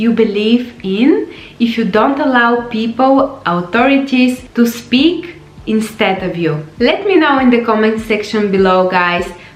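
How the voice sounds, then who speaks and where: Over noticeable background noise and audible room echo, a woman speaks fairly slowly with a non-native accent. Her pitch is fairly high and her intonation lively. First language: not English. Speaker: life coach. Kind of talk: motivational vlog talk.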